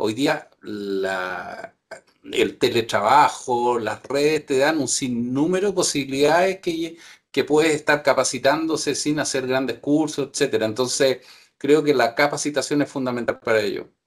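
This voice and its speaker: A man speaks at a fairly slow pace with a fairly high pitch and lively intonation, in a plain, everyday voice. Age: 60s. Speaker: operations manager. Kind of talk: webinar panel discussion.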